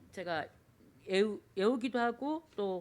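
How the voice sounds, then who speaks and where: A woman's medium-pitched voice at a moderate pace, with ordinary pitch variation, in a very clean recording with a silent background. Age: 60s. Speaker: church deaconess giving testimony. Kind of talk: testimony. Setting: church service. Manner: halting with many fillers.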